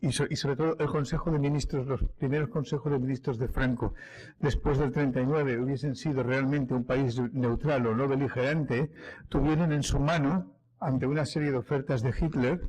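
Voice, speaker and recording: Fairly high-pitched and somewhat breathy, a man speaks at a moderate pace with fairly even intonation and very even loudness. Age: 60s. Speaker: historian speaker. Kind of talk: public talk. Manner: halting, with many fillers and restarts.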